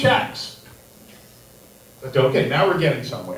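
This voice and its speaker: Moderate-paced speech from a man, audible room echo and noticeable background noise behind it. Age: 60s. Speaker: stand-up comedian. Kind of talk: stand-up. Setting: stage with audience. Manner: dry, deadpan.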